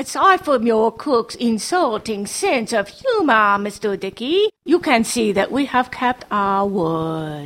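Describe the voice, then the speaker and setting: A female-sounding put-on character voice, fairly high in pitch, at a fairly slow pace with hardly any pauses. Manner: calm, silkily polite.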